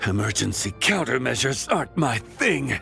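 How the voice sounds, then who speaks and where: A put-on character voice at a moderate pace. Clear music plays in the background. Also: man. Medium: fan dub. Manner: authoritative, steady.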